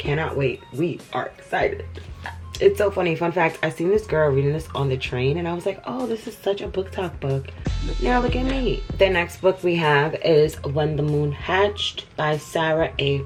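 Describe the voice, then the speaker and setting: A woman talks at a moderate pace with an American accent. Music plays in the background. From New York, USA. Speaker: book reviewer. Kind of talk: casual talk to camera.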